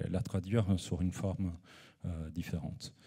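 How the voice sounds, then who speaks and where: With a non-native accent, the speaker talks at a fairly slow pace in a dark, mellow tone with fairly even intonation. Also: man. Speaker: photographer and researcher. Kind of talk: conference presentation. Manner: halting, many hesitations.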